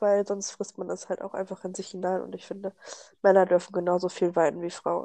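The woman's tone is dark and mellow, her intonation monotone and flat. Her loudness swings widely, and she leaves long, frequent pauses. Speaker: podcast co-host. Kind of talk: casual chat.

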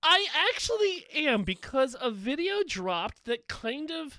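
The man projects his voice, speaking raised. His pitch ranges very widely. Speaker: podcast co-host. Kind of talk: casual chat.

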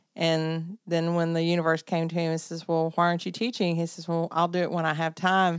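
A woman with a Southern US accent talks at a fairly quick pace, with hardly any pauses. Her voice is fairly low in pitch, with monotone, flat intonation. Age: 50s. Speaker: podcast co-host. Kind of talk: casual chat.

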